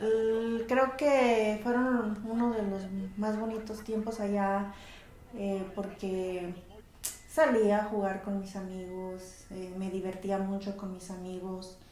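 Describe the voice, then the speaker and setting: Someone with a Mexican accent speaks at a very slow pace with fairly even intonation, amid noticeable background noise and audible room echo. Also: woman, medium pitch for a woman. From Mexico, Colima (Armería), moved to California as a child. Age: 40s. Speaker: interviewee, mother of the channel owner. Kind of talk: personal interview testimony. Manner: halting, many fillers.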